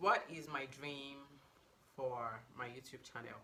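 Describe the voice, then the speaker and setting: In a Nigerian accent, the voice has a bright, sharp tone and ordinary pitch variation. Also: woman. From Nigeria, Abuja (FCT), North Central. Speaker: beauty and lifestyle YouTuber. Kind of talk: casual get-to-know-me vlog. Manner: animated.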